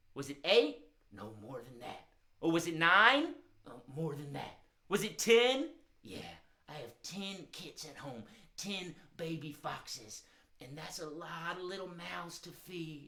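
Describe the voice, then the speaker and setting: In a cartoonish character voice, a woman speaks at a fairly slow pace, leaving long, frequent pauses. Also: fairly low pitch for a woman. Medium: puppet show. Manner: hesitant, stammering.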